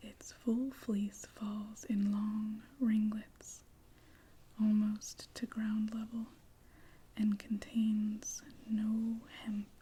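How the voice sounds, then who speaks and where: A very slow, soft-spoken whisper with a gentle tone and long, frequent pauses. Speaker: ASMR reader. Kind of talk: sleep-aid ASMR reading. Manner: soft-spoken, slow, gentle, moving to whispers.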